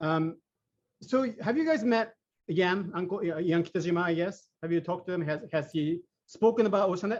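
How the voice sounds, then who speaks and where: With a Japanese accent, a man speaks at a high pitch and a fairly quick pace, using ordinary pitch variation. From Japan (Sapporo). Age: 50s. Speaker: AI engineer. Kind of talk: presentation. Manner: halting, many fillers.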